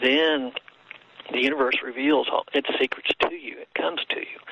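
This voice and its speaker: Noticeable background noise is present throughout. Through it, a man talks at a moderate pace. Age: 60s. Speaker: author and healer. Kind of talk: interview. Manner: halting.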